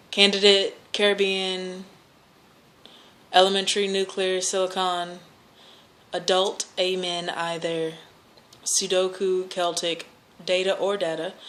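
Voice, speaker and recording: With audible room echo, the voice speaks fairly slowly in a flat monotone, broken by long, frequent pauses. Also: woman, medium pitch for a woman. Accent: American. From Louisville, Kentucky, US. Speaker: vlogger. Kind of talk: accent challenge word list and casual talk; reading a word list.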